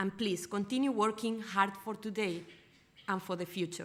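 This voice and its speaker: A woman with a Spanish accent speaks at a moderate pace and a medium pitch. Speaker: foundation representative. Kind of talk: welcome speech.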